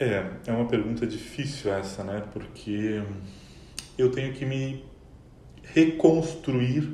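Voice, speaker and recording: At a very slow pace, a man speaks in a calm tone, leaving long, frequent pauses. His medium pitch shows ordinary variation, and audible room echo fills the space. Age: 30s. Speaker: quality analyst, bereaved fiancé. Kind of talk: emotional testimony interview.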